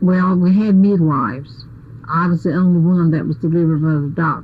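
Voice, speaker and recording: A woman speaks with an American accent at a fairly quick pace. Her voice is fairly low in pitch and somewhat breathy. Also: ordinary pitch variation. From Ocracoke, North Carolina. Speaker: nurse and midwife's assistant. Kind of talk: oral history interview answer.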